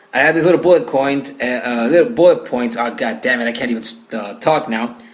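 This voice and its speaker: At a fairly quick pace, this voice shows ordinary pitch variation while noticeable background noise carries on underneath. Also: man, medium pitch for a man. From Mexico. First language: Spanish. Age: young. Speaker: gaming podcaster. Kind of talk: solo podcast monologue. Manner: hesitant with frequent fillers.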